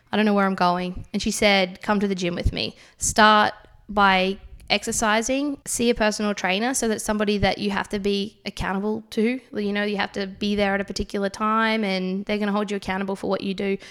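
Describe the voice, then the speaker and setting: A woman speaks at a fairly quick pace with an Australian accent and a medium pitch. Her intonation is monotone and flat, on a very clean recording with a silent background. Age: 20s. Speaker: CrossFit athlete. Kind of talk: interview. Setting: studio.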